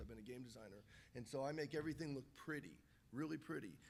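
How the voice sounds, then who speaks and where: In a room with audible echo, a man with a medium-pitched voice and vocal fry talks at a very fast pace in an animated tone. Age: 30s. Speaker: game designer and YouTuber. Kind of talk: panel discussion. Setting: stage with audience. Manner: animated storytelling.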